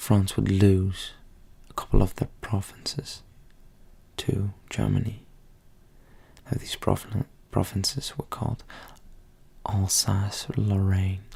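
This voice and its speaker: A man whispering at a very slow pace, with long, frequent pauses. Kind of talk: softly-spoken ASMR educational history lesson. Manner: soft-spoken, relaxing.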